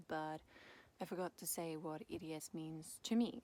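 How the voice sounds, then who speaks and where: With a Swedish accent, a woman with a fairly low voice speaks in a lively intonation. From Sweden. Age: 20s. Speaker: chronic illness vlogger. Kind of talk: casual vlog monologue.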